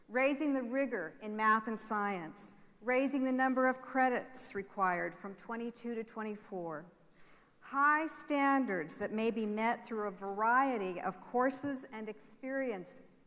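Her pitch varying in an ordinary way, a woman talks at a fairly slow pace. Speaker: state education official on panel. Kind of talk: prepared speech. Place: stage. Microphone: lapel.

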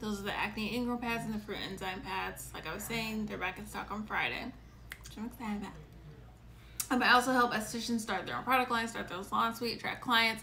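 Over light background noise, a woman talks at a very fast pace with big swings in loudness. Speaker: esthetician hosting a live show. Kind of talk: casual livestream chat. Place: home room. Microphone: phone near.

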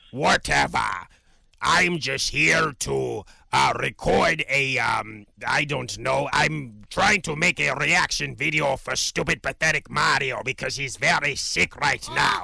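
A man puts on a raspy character voice at a fairly high pitch. He talks at a fairly slow pace. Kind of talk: comedic character reaction video.

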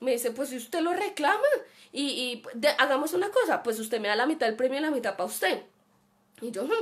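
This woman talks at a very fast pace with lively intonation. Her pitch sits high. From Colombia. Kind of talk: personal anecdote; live-streamed talk. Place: home room. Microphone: webcam.

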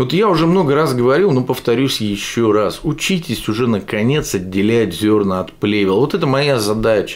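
A man talks at a moderate pace with hardly any pauses. His intonation is lively and his loudness very even. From Russia, Yekaterinburg; Russia. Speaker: political video blogger. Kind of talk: political commentary monologue. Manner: animated. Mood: sarcastic, critical. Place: home room.

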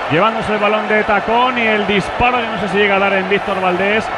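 Amid noticeable background noise, a man projects a raised voice at a fairly quick pace with an animated tone. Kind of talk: live football commentary. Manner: animated, fast play-by-play delivery, rising to shouts on big chances; excitable, rapid-fire, clipped sentences.

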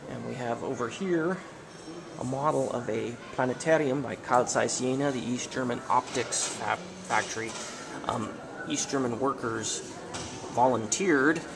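The speaker moves at a fairly slow pace with ordinary pitch variation. Long, frequent pauses stand out against noticeable background noise. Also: man. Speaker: museum tour narrator. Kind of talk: guided tour commentary. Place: hall. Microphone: phone near.

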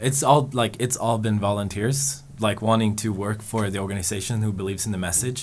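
Faint music plays behind a man who speaks fairly slowly in a fairly low voice with ordinary pitch variation. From Sweden. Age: 20s. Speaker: organization staff member; guest. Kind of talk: interview answers. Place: studio. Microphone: studio mic.

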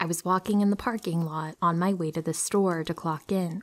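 An unremarkable speaking voice moves at a moderate pace with ordinary pitch variation. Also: woman. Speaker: horror story narrator. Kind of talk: story reading.

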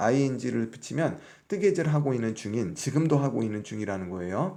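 A man speaks at a fairly slow pace in a dark, mellow tone with very wide pitch swings. Audible room echo can be heard. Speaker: English teacher. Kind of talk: lecture.

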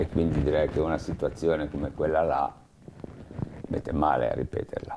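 A man's very deep, low voice comes through flat and monotone. Long, frequent pauses break it up, with noticeable background noise behind him. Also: moderate pace. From Liguria. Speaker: eyewitness interviewee, former municipal employee; witness. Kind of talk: oral history interview. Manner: halting, many fillers and repetitions. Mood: reflective, calm. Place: studio. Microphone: lapel.

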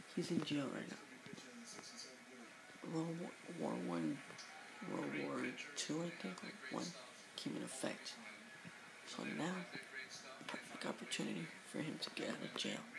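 A man talks at a moderate pace, pausing long and often, with loud noise behind him. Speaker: vlogger reviewing a TV show. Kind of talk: casual talk to camera, TV show review. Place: home room. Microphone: webcam.

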